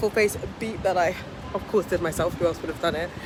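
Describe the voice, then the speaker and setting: Over music in the background, a woman with a British accent speaks at a fairly quick pace. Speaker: vlogger and property entrepreneur. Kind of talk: vlog. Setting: outdoors at beach club.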